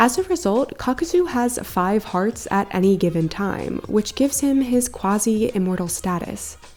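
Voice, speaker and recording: Music plays in the background as a woman speaks. Her pitch is fairly high and her pace moderate. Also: lively intonation. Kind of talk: anime video essay narration. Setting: home recording with a new microphone.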